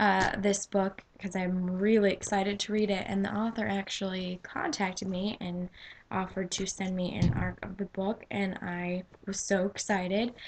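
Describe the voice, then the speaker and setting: A woman talks at a moderate pace and medium pitch, her voice somewhat breathy. Her intonation is monotone and flat. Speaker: book vlogger. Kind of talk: casual vlog.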